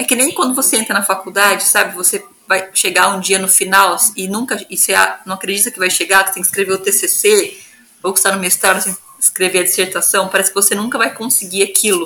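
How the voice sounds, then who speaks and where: A woman's medium-pitched voice, very fast and fairly even in intonation, over noticeable background noise. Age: 30s. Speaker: geographer and researcher, mother. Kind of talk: interview.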